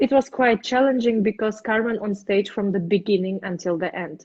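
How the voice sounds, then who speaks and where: At a fairly slow pace, a woman with a Russian accent speaks at a medium pitch. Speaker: opera singer. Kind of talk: interview. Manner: halting.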